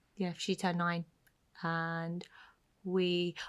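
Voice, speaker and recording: A quiet woman's voice at a fairly low pitch comes through on a very clean recording with a silent background. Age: 30s. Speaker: podcast co-host. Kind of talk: casual chat. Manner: speaking quietly.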